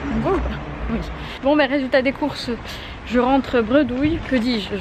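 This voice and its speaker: There is noticeable background noise as a woman speaks at a moderate pace in a high pitch. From Bordeaux, France. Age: 20s. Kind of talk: casual vlog talk to camera. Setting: outdoors. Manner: casual, slangy, chatty.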